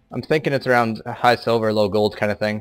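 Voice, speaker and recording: Over music in the background, a man with a fairly low pitch speaks at a fairly quick pace. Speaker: amateur game caster. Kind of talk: live commentary. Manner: monotone; halting.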